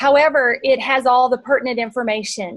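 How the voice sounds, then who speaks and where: The speaker has a Texan accent and ordinary pitch variation, recorded with a dry, close sound with no echo. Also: woman. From Texas. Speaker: marketing presenter. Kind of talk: webinar presentation.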